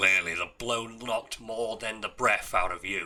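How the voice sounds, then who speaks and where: In a put-on character voice, a man speaks raspy and monotone at medium pitch and a moderate pace, his intonation flat. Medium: read story. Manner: urgent, blunt.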